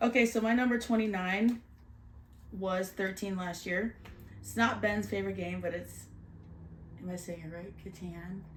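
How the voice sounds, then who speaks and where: A woman with a Canadian accent at a moderate pace, fairly even intonation, long, frequent pauses and big swings in loudness. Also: medium pitch for a woman. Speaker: board game reviewer. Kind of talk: casual chat.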